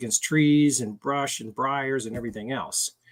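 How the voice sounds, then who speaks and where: A man with an American accent talks at medium pitch and a moderate pace, with ordinary pitch variation and a plain, everyday voice. The recording is very clean, with a silent background and a dry, close sound with no echo. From Washington DC area. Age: 60s. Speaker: motorcycle gear sales rep. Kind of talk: interview.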